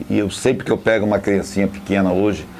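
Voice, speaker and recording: A man talks at a very fast pace while noticeable background noise plays. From Brazil, Volta Redonda (Rio de Janeiro state). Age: 60s. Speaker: football fan and supporters' band leader. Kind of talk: documentary interview.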